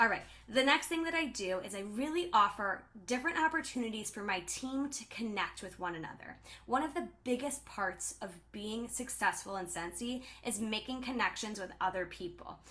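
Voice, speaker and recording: Loud and bright with a sharp edge, a woman speaks at a moderate pace in a fairly high pitch with lively intonation. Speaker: direct sales team leader. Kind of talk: live stream talk. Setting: livestream. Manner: animated.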